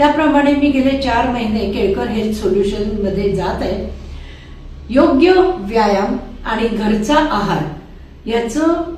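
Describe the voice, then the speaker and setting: Against noticeable background noise, a woman speaks with lively intonation at a fairly high pitch. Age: 70s. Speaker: health clinic client. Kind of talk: client testimonial.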